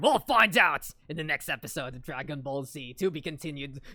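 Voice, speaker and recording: At a fairly quick pace, a put-on character voice of low-to-middle pitch delivers its lines in a dramatic tone. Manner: gritty, dramatic.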